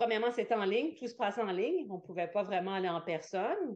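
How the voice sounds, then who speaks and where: This is a woman's voice. She speaks with a Quebec accent. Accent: Québécois French. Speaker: yoga teacher and entrepreneur. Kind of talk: interview.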